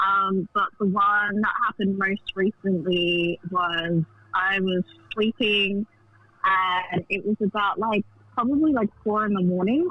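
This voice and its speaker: The pace is very slow. Noticeable background noise is present. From South Africa. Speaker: caller. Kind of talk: casual storytelling. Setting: phone call on loudspeaker. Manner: hesitant, many fillers.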